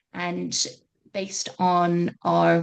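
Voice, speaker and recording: A woman speaks with a British accent against a quiet background. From Britain. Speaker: education consultant, webinar host. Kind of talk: webinar presentation. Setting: online webinar.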